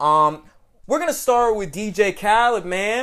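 A very clean recording with a silent background, featuring a man with an American accent. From Atlanta, Georgia, US South. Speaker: podcast host. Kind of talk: casual chat. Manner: animated.

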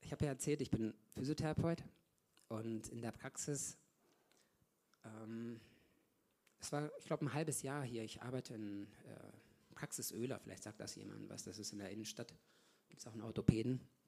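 A man speaks at a medium pitch and moderate pace in a dark, mellow tone. His loudness swings a lot, with long, frequent pauses. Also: ordinary pitch variation. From Germany, Ostwestfalen. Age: 40s. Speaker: lay preacher, physiotherapist. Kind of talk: sermon. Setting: church service.

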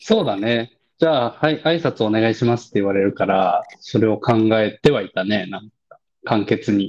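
A man at a moderate pace, medium-pitched, with ordinary pitch variation. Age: 30s. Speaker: podcast co-host. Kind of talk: casual chat.

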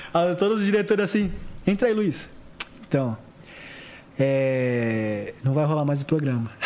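The voice holds a very even loudness while its pitch swings very widely. Long, frequent pauses break it up, over noticeable background noise. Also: man, fairly high pitch for a man, fairly slow pace. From Santos, São Paulo state, Brazil. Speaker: actor, model and TV stage assistant. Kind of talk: casual chat. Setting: studio.

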